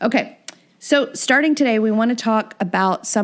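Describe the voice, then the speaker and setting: In a Southern US accent, a woman talks with lively intonation. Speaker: podcast host, workforce consultant. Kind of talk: podcast discussion explaining regulations.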